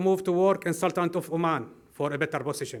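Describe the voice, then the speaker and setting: In an Arabic accent, a man talks at a fairly quick pace with a high pitch. The recording is very clean, with a silent background. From Syria (Homs). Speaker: refugee civil engineer. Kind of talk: prepared speech.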